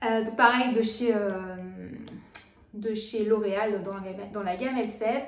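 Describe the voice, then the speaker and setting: A woman speaks at a moderate pace in a fairly high pitch, her intonation flat and monotone, with audible room echo. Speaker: beauty vlogger. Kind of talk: casual product haul vlog. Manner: hesitant, many fillers.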